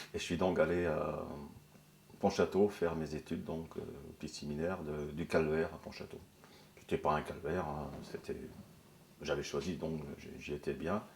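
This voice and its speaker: At a moderate pace, a man with a very deep, low pitch talks in a monotone, flat intonation, with long, frequent pauses. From Brittany, North Finistère (Kerlouan). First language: Breton (speaking French). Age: 70s. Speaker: former factory worker and trade unionist. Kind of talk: interview testimony. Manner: halting, many hesitations.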